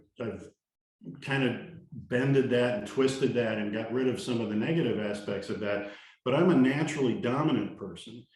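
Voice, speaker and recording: A man speaks at a moderate pace with a medium pitch and ordinary pitch variation. Room echo is audible. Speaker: leadership trainer. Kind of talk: talking-head monologue. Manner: confident, energetic.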